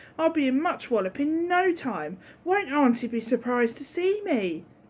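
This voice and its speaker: A high-pitched put-on character voice from a woman, delivered at a moderate pace. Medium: read story. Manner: chatty, talks to herself.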